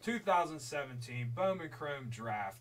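A man puts on a loud character voice at a medium pitch. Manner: loud, announcer delivery.

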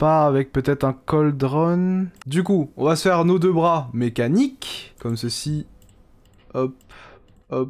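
A man talks at a fairly high pitch with ordinary pitch variation and a very slow pace. Long, frequent pauses fill the very clean recording, its background silent. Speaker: gaming YouTuber. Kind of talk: let's play commentary. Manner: casual, halting with repetitions.

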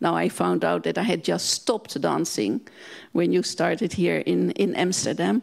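A woman speaks with a Dutch accent at a moderate pace. Her loudness stays very even, and the background is quiet. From Netherlands. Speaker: museum director; guest. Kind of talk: panel discussion. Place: hall. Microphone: handheld.

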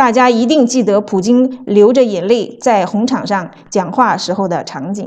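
A woman's fairly high-pitched, unremarkable speaking voice, fairly slow with ordinary pitch variation and hardly any pauses. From mainland China. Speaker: author and evangelist. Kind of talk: reading aloud.

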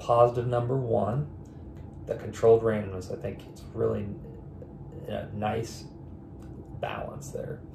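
A man at a medium pitch, fairly slow pace, noticeable background noise. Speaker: board game reviewer. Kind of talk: casual talk to camera. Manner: off the cuff.

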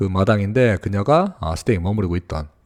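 A man at a fairly quick pace in a very clean recording with a silent background. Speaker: English tutor. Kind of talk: lecture. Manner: fast.

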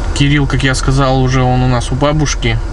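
At a moderate pace, a man talks in a dry sound with no echo over noticeable background noise. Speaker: family vlogger. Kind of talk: casual vlog chat. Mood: relaxed, chatty. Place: car. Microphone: phone near.

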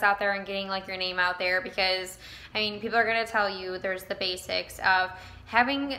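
Speaking at a fairly quick pace, a woman keeps her intonation fairly even. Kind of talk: casual vlog chat. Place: shop. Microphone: phone near.

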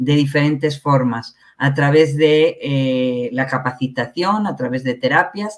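A woman's very deep, low voice at a fairly slow pace, with ordinary pitch variation and a quiet background. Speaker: guest. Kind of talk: interview answer. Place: home room. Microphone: headset.

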